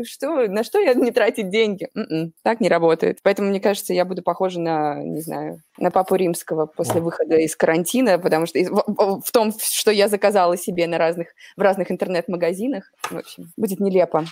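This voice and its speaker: Speaking at a fairly quick pace, a woman uses an unremarkable speaking voice at medium pitch with ordinary pitch variation. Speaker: conference program coordinator. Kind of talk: casual chat.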